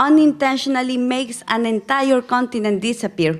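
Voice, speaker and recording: Speaking at a moderate pace with a Spanish accent, a woman uses a high pitch and ordinary pitch variation. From Ecuador. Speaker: missiologist and plenary speaker. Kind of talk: conference lecture with storytelling.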